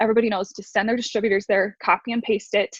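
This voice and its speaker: A woman with an American accent, fairly high in pitch and somewhat breathy, her intonation fairly even. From New York. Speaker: network marketing distributor, former special ed teacher. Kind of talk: casual group video call, sharing tips. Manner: fast.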